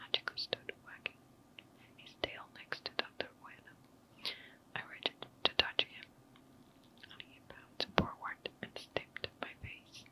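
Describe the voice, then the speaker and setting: Whispering at a fairly slow pace, with long, frequent pauses, big swings in loudness, and noticeable background noise. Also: woman. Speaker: ASMR content creator. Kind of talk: ASMR whispered story reading. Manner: whispered, soft.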